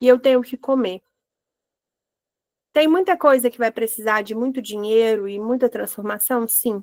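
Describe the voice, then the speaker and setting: A woman speaks in a high pitch with ordinary pitch variation, her loudness swinging widely, leaving long, frequent pauses, in a dry, close sound with no echo. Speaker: holistic therapist leading Bible devotional. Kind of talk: devotional teaching. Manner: animated.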